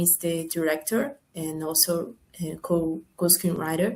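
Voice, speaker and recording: Speaking at a very slow pace, a woman with a Portuguese accent has a dark, mellow tone. Her voice is somewhat breathy. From Brazil. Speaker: film producer and screenwriter. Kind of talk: panel Q&A. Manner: halting.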